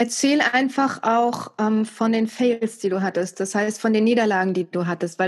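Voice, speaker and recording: At a moderate pace, a woman speaks in a normal speaking voice with medium pitch and ordinary pitch variation. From East Germany. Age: 40s. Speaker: TV and radio presenter. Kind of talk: casual interview.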